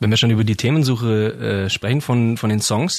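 This man has an ordinary speaking voice at medium pitch. He moves at a fairly quick pace with ordinary pitch variation. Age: 20s. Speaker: radio podcast host. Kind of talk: casual interview. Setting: studio.

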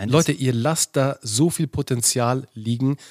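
Fairly slow, medium-pitched speech from a man, with ordinary pitch variation, on a very clean recording with a silent background. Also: dry, close sound with no echo. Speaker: co-host. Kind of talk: casual podcast banter and outro. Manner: upbeat, jokey, enthusiastic.

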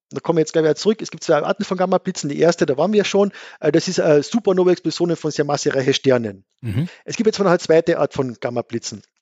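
A man talks at a very fast clip with a lively, bouncing intonation. His pitch sits fairly high. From Austria, Carinthia (Gailtal). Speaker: astrophysicist, book author. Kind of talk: casual science chat.

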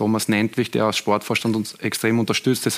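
His pitch sits in the middle range. The man keeps up a fairly quick pace. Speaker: football coach, former player. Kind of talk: studio talk show.

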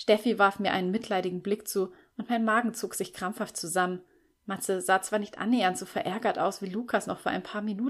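The clip features an unforced reading voice with fairly even intonation.

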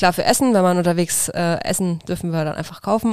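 At a moderate pace, a woman of medium pitch speaks in an unremarkable speaking voice. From Franconia, Bavaria (near Nuremberg). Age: 30s. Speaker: journeyman butcher on traditional travels. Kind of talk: casual interview.

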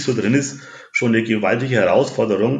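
This man speaks with a southern German accent. His pitch is medium and his pace moderate. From Franconia, Bavaria (Nuremberg). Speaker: ice hockey fan representative. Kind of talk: interview. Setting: at home.

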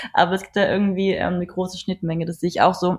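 Very fast and somewhat breathy, a woman talks at medium pitch with monotone, flat intonation in a dry, close sound with no echo. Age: 30s. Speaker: photographer and model agency founder. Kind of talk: casual interview.

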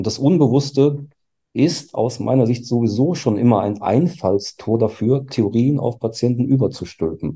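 Speaking at a moderate pace and medium pitch, a man with a dark, mellow, somewhat breathy voice shows ordinary pitch variation. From Germany. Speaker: forensic psychiatrist. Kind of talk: panel discussion.

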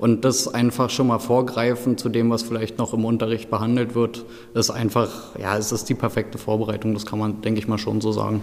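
Against noticeable background noise, a man talks fairly quickly at a medium pitch in a flat monotone. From eastern Germany, Brandenburg. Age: 20s. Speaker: pharmacy technician trainee. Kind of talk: interview.

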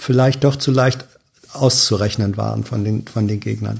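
Here a man speaks at a fairly slow pace. His tone is dark and mellow, and somewhat breathy. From northern Germany, Hannover. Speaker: journalist, podcast guest. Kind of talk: casual chat. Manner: halting, many fillers.

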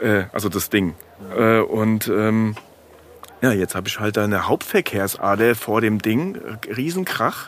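Noticeable background noise sits behind a man whose speech has ordinary pitch variation. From Frankfurt, Hesse. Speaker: kiosk owner. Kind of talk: casual chat.

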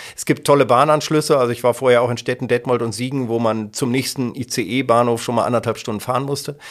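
Rushing at a very fast pace, a man with a medium pitch keeps his intonation fairly even. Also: hardly any pauses. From Germany, Kassel (northern Hesse). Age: 50s. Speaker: local radio editor-in-chief and presenter. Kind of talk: casual interview.

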